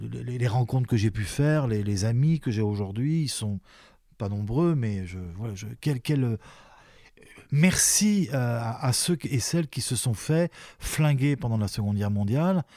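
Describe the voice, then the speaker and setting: A man talks at a fairly slow pace with a medium pitch and lively intonation. His tone is dark and mellow, and the recording is very clean with a silent background. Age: 60s. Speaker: retired sports journalist and commentator. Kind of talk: interview conversation. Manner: halting, with many repetitions and fillers.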